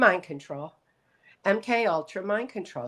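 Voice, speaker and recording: A woman with an American accent, lively intonation and a moderate pace. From Michigan, US Midwest. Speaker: abuse survivor and speaker. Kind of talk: interview testimony. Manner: halting, with fillers.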